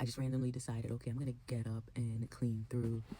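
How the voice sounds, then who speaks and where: A woman speaks quietly in a very deep, low pitch, her dark, mellow tone somewhat breathy. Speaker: beauty and fashion vlogger. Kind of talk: casual vlog monologue. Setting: at home, early morning. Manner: quiet, talking low.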